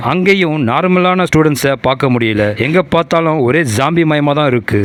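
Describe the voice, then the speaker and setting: Male speech at a fairly high pitch with ordinary pitch variation, over noticeable background noise. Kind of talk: movie recap narration. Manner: dramatic, suspenseful.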